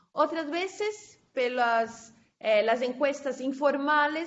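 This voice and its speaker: A woman's high-pitched voice with a Portuguese accent, very slow in pace, with ordinary pitch variation. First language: Portuguese (speaking Spanish). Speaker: conference speaker, researcher. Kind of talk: academic presentation and Q&A. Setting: conference session, recorded. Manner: halting.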